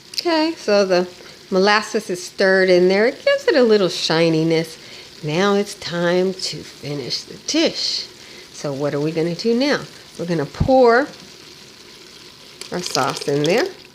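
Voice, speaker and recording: Over noticeable background noise, a woman at medium pitch speaks with lively intonation at a fairly slow pace, leaving long, frequent pauses. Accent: American. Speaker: cooking channel host. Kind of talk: cooking tutorial. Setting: home kitchen. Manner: casual, chatty.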